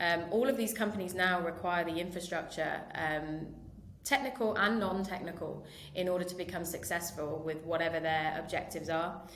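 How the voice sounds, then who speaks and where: In a British accent, a woman with a fairly low pitch speaks at a moderate pace with ordinary pitch variation and audible room echo. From United Kingdom. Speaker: marketing director. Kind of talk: podcast interview. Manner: hesitant, many fillers.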